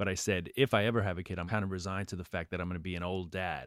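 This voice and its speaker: A man talks in a New York accent with a very deep, low pitch. The sound is dry and close, with no echo. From New York, Queens. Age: 40s. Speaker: stand-up comedian. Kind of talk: casual interview; stand-up.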